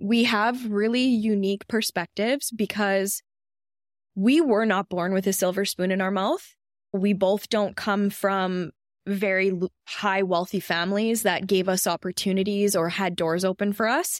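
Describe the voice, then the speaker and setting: Captured in a very clean recording with a silent background and a dry, close sound with no echo, a woman speaks at a fairly slow pace and medium pitch, with very even loudness and fairly even intonation. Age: 30s. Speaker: podcast co-host, beauty business owner. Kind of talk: casual chat. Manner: articulate.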